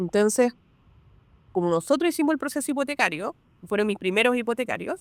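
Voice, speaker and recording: Speaking at a very fast pace, a woman with a fairly high pitch uses lively intonation, heard in a dry, close sound with no echo. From Peru. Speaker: real estate broker. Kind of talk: podcast interview.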